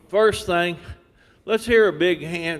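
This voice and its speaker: With crowd noise behind him, a man in a strong West Texas accent talks at a fairly slow pace. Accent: deep West Texas. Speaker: industry speaker. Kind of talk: seminar talk. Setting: seminar room, seated.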